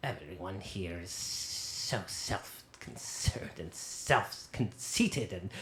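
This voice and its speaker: Someone in a put-on character voice talks at a very slow pace. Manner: irritable, scolding.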